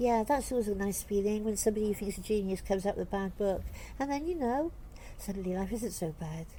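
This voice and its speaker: Talking at a very fast pace, a woman has a medium pitch and ordinary pitch variation. Her tone is dark and mellow, and somewhat breathy. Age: 60s. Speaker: writer. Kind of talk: interview answer.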